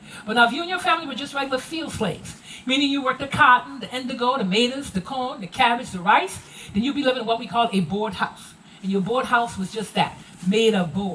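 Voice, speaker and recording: With an American accent, a woman talks at a very fast pace in a high pitch with lively intonation. Noticeable background noise can be heard. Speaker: Gullah culture presenter. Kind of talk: live heritage presentation to tour group.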